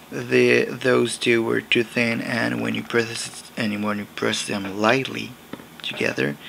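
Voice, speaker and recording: Noticeable background noise sits under the audio. A man talks at a fairly slow pace. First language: not English. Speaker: crafting video maker. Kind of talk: tutorial. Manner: halting.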